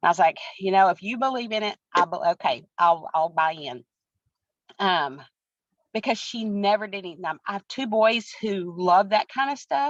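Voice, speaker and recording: In a dry, close sound with no echo, a woman of medium pitch talks at a moderate pace with lively intonation and long, frequent pauses. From Texas, Breckenridge. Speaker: track coach and wellness product seller. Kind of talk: personal testimony in an interview. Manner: animated.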